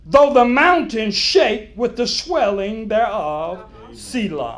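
Over music in the background, a man with a high voice talks at a very slow pace, his pitch swinging very widely. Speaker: preacher delivering a sermon. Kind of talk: sermon delivery at a church revival. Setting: church with a responsive congregation. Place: church.

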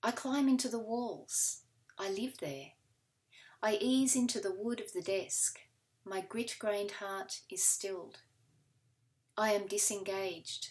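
At a fairly slow pace with long, frequent pauses, a woman speaks with a fairly high pitch and ordinary pitch variation. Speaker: poet. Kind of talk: poet reading her own confessional poem sequence aloud. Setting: recorded reading video. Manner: measured, deliberate pacing with weighted pauses between fragments. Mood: calm, measured, solemn. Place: home room. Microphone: webcam.

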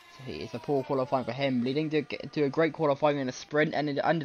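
In an animated tone, a man with a fairly high pitch speaks at a fairly quick pace over noticeable background noise. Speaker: sports commentator. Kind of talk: live sports commentary. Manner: conversational, loosely improvised, with filler 'um's; animated, quick-reacting to on-track action.

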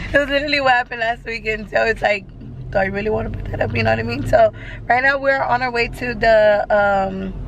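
Hoarse woman's voice at a very fast pace, dry with no echo, over light background noise. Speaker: vlogger. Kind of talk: casual vlog chat. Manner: hoarse voice, talking casually. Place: car. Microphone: phone near.

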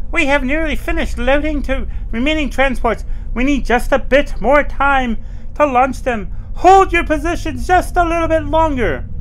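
Over clear background noise, a man uses a put-on character voice pitched extremely high. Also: moderate pace. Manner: funny, put-on.

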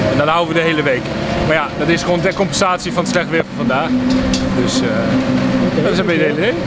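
Over loud background noise, a man speaks at a very fast pace with ordinary pitch variation. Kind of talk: interview answer. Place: street.

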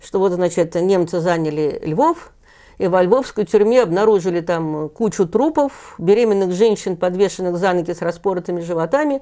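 Over a quiet background, a woman speaks at a moderate pace in a dark, mellow tone with ordinary pitch variation. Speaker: journalist and author on history; journalist. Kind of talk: interview. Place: studio. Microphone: lapel.

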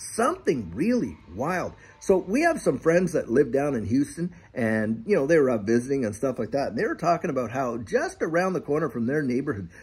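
A man talks at a fairly quick pace in a somewhat breathy voice with very wide pitch swings. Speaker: channel host. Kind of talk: casual vlog chat. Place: garden. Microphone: phone near.

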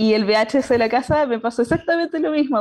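Over a quiet background, a woman speaks at a fairly high pitch. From Chile, Concepción; Chile. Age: 20s. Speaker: engineering student; panelist. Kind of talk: personal story talk. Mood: cheerful, smiling. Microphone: video call.

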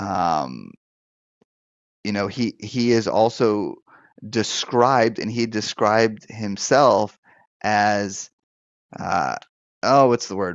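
A man at a very slow pace and fairly low pitch, with ordinary pitch variation, long, frequent pauses, dry sound with no echo and a quiet background. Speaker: pastor and deliverance minister. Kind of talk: live-stream Q&A show, pastoral teaching. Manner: conversational, hesitant with fillers. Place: office. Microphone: headset.

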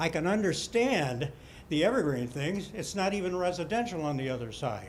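A man speaks at a moderate pace with lively intonation, and audible room echo is present. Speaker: resident speaking at town hall. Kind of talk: public comment at town hall. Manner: loud, projecting; halting, repeated words.

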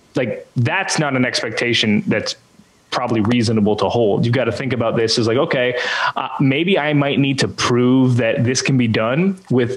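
A man with a Canadian accent talks at a moderate pace with ordinary pitch variation. The background is quiet. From Canada. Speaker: church communications consultant; interview guest. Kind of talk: interview. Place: home room. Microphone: studio mic.

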